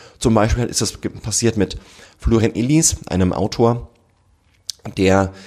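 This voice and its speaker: In a dark, mellow tone, a man speaks at a moderate pace with fairly even intonation. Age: 30s. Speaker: generations researcher and author. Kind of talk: podcast interview.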